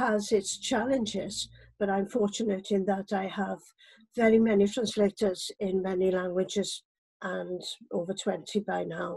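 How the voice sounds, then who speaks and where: A woman speaks with a Welsh accent. Her pitch sits in the medium range. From Wales. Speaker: poet. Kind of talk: personal introduction.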